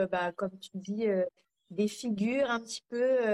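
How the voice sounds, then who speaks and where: A woman with a normal speaking voice and medium pitch talks at a fairly slow pace, recorded dry and close with no echo. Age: 30s. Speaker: cancer survivor and author. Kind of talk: casual interview. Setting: live video stream.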